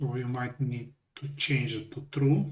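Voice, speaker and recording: This man's voice has a dark, mellow tone and is somewhat breathy. His intonation stays fairly even, and room echo is audible. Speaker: software tutorial presenter. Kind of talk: tutorial. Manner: hesitant, self-correcting.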